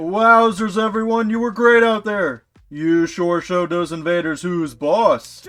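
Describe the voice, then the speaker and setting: A man puts on a character voice pitched high. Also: moderate pace. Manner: cheerful, sickeningly cheery.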